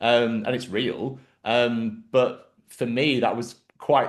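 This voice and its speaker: The background is quiet. A man talks with a medium pitch. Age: 40s. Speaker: podcast host. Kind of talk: casual chat. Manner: halting.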